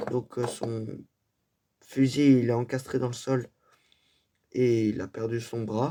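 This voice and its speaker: Very slow pace, with long, frequent pauses. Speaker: miniature painting YouTuber. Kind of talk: casual tutorial. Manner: hesitant, many fillers.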